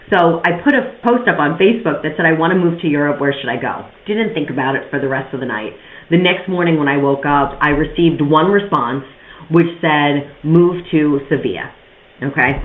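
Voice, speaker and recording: A woman talks at a fairly quick pace with lively intonation and a very deep, low pitch. Noticeable background noise and audible room echo fill the recording. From New York. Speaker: podcast host, real estate investor. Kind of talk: monologue podcast, personal story. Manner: fast; casual, conversational.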